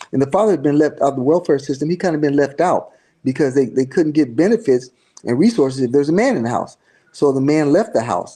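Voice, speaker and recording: A man with a dark, mellow tone speaks at a very fast pace. His fairly high voice carries lively intonation. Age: 60s. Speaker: church leader. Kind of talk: interview. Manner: halting, with many repeats.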